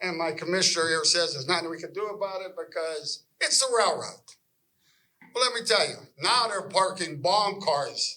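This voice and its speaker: With a Pittsburgh accent, a man projects a raised voice that is high for a man and bright and sharp in tone, moving at a moderate pace with ordinary pitch variation. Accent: Western Pennsylvania (Pittsburgh). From western Pennsylvania. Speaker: local resident. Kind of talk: public meeting comment. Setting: public meeting hall. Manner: animated.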